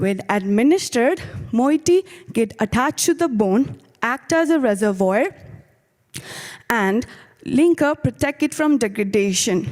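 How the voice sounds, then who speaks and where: A woman with a fairly high pitch speaks at a fairly slow pace, taking long, frequent pauses. Her pitch swings very widely while her loudness stays very even. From Nepal. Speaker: graduate student researcher. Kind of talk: competition presentation. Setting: video call.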